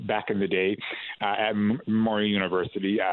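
A man's fairly low, monotone, flat voice with a Newfoundland accent. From St. John's, Newfoundland (East End). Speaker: actor and playwright, theatre artistic director. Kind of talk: radio interview. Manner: hesitant, many fillers and repeats.

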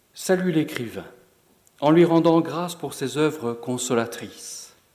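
This is a man speaking. His pace is very slow. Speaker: presenter and reader. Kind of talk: lecture-style presentation, commentary between readings. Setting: lecture hall with audience.

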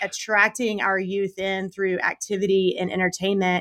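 Recorded very cleanly with a silent background, a woman with an American accent speaks at a moderate pace, her medium-pitched voice bright and sharp in tone. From South Carolina, US South. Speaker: youth minister. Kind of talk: podcast interview.

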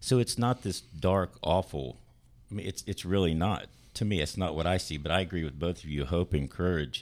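Speaking at a moderate pace with vocal fry, a man with a very deep, low voice shows ordinary pitch variation on a very clean recording with a silent background. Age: 40s. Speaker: church drummer. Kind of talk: casual chat. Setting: studio.

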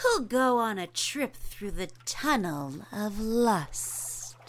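Putting on a character voice, a woman speaks very slowly at a fairly high pitch with very wide pitch swings. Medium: audio drama. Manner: flirtatious.

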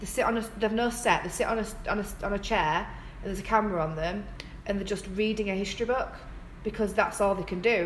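Speech comes at a very fast pace with fairly even intonation. Room echo and noticeable background noise can be heard. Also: woman. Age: 20s. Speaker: podcast co-host. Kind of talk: casual chat.

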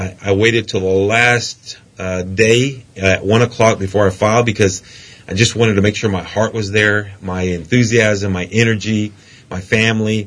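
At a moderate pace, a man speaks in a monotone, flat intonation with a fairly low pitch. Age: 50s. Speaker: politician. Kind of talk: interview. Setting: studio.

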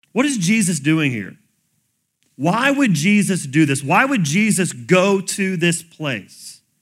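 Speaking very slowly with an American accent, a man uses a high pitch and very wide pitch swings, and audible room echo surrounds his voice. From US South. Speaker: pastor. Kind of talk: sermon.

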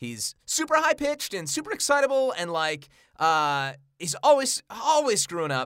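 Moving at a moderate pace, a man talks in a high voice that makes very wide pitch swings. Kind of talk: casual chat. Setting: studio. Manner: halting.

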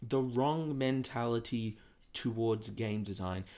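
This man speaks with an Australian accent. His pace is moderate and his pitch varies in an ordinary way. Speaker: gaming podcast host. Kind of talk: solo podcast monologue. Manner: animated.

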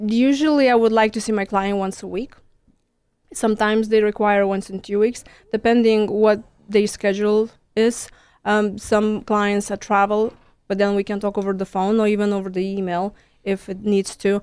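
On a very clean recording with a silent background, a woman with a Lithuanian accent speaks at a moderate pace and a medium pitch in a monotone, flat intonation. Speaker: stress management coach. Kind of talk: radio interview.

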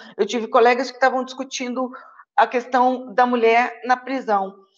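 This is a woman talking. Her pitch is high. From Rio de Janeiro, Brazil. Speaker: lawyer and doctoral researcher. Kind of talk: online panel discussion.

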